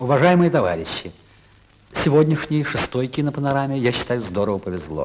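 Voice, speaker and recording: Over noticeable background noise, a man talks at a fairly quick pace with a fairly high pitch, very wide pitch swings, and long, frequent pauses. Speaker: television host. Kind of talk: TV program host introduction. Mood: festive, warm. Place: studio.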